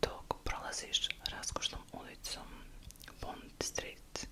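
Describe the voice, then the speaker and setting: Through noticeable background noise, a woman whispers. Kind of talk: ASMR history storytelling. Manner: soft-spoken.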